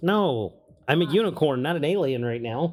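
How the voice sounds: A man in a put-on character voice talks at a moderate pace, fairly high in pitch.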